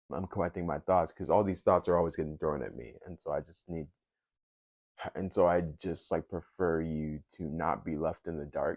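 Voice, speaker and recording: Very deep and low, a man's voice moves at a moderate pace with fairly even intonation and big swings in loudness. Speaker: YouTuber. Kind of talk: casual vlog monologue. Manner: halting, many filler words and pauses. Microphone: new mic set.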